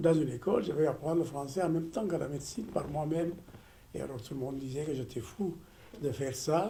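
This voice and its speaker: A man talks at a very fast pace in a fairly high, somewhat breathy voice with a dark, mellow tone and ordinary pitch variation, with audible room echo around him. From Ethiopia, rural mountains. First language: Amharic or other Ethiopian language (speaking French). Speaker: surgeon. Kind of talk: personal testimony. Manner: halting, with repetitions.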